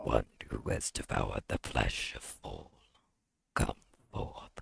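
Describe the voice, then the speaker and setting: A very deep, low-pitched put-on character voice from a man. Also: fairly slow pace. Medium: actual play. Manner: formal, ceremonial.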